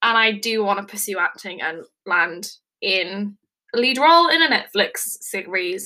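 Animated and bright, with a sharp tone, a woman speaks in an English accent at medium pitch. Her intonation is lively and her pace fairly slow. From England. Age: 20s. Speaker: podcast host. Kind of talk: casual monologue. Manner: rambling, animated.

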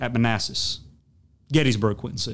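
A man with a Southern US accent talks with fairly even intonation. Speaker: podcast host and institute administrator. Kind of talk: academic panel conversation. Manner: frequent fillers like you know.

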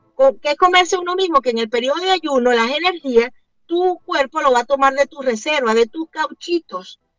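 With music in the background, a woman speaks at a high pitch and a moderate pace with lively intonation. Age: 50s. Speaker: keto diet advocate and entrepreneur. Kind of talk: radio interview.

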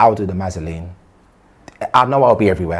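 A somewhat breathy man's voice, very deep and low in pitch, with a London accent. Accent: London multicultural English. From South London (Brixton), British-Ghanaian. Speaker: former gang member. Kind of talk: interview.

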